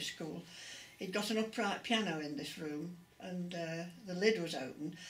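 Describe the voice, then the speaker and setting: A woman with an East Midlands accent speaks at medium pitch with ordinary pitch variation. Room echo and background noise are both noticeable. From England, Derby area. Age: 80s+. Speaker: interviewee. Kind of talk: oral history interview.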